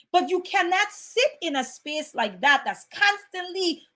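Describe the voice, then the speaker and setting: A loud woman's voice with lively intonation, an animated tone and a fairly slow pace. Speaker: motivational speaker. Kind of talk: motivational talk.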